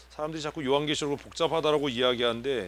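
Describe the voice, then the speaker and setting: A man at a very fast pace, with audible room echo. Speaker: pastor. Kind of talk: sermon.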